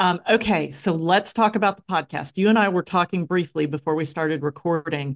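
A woman with a plain, everyday voice at a fairly low pitch, fairly quick pace and ordinary pitch variation, in a dry, close sound with no echo against a quiet background. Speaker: podcast host. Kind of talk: podcast interview.

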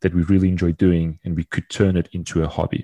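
A man's very deep, low voice, dark and mellow in tone, monotone and flat in intonation, at a fairly quick pace, with a dry, close sound, no echo, and a very clean recording over a silent background. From Portugal. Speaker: podcast co-host, travel industry worker. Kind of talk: casual chat.

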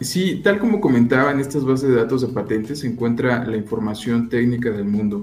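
A man with a plain, everyday voice talks at a moderate pace, his medium pitch showing ordinary pitch variation. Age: 30s. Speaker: intellectual property consultant. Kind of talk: radio interview. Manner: formal.

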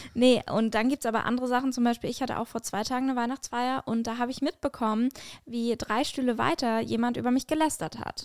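On a very clean recording with a silent background and a dry, close sound with no echo, a woman talks very fast in a high pitch with fairly even intonation. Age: 20s. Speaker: podcast host and stand-up comedian. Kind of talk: casual chat.

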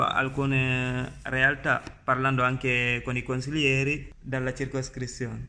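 Room echo is audible. The speech moves at a very slow pace. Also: man. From Gambia. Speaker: youth podcast host. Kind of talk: semi-scripted podcast hosting.

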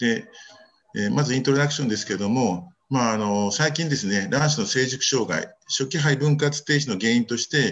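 This man talks at a medium pitch in a plain, everyday voice. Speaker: reproductive medicine physician. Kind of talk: journal club paper presentation. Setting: video call.

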